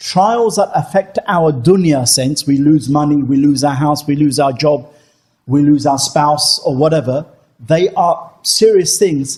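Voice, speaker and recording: Fairly high in pitch, a man's voice sounds somewhat breathy. He moves at a fairly slow pace. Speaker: Islamic teacher. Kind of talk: religious Q&A lecture. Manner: conversational, with many fillers.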